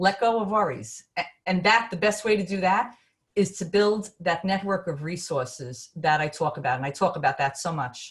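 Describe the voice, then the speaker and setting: Speaking in a New York accent at a moderate pace, a woman uses a medium pitch, lively intonation and a somewhat breathy voice. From Brooklyn, New York. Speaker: business consultant. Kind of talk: webinar presentation. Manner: animated.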